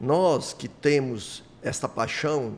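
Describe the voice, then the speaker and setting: This is a man speaking. His pitch is medium. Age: 60s. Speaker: car dealer and former union president. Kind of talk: interview podcast.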